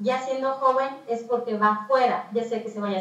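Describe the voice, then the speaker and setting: A woman's fairly high voice, with fairly even intonation and a moderate pace. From Mixteca region, Oaxaca, Mexico. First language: Mixtec (speaking Spanish). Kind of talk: talk.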